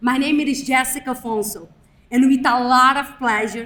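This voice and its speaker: The speaker is a woman. Her voice is high-pitched. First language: not English. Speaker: graduate student speaker. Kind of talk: ceremony speech. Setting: graduation ceremony with audience.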